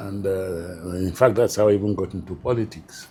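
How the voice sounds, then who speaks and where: A man speaks with a dark, mellow tone, somewhat breathy, at a fairly low pitch, in a northern Nigerian accent. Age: 70s. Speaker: retired public administrator. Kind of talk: interview. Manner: hesitant, with fillers.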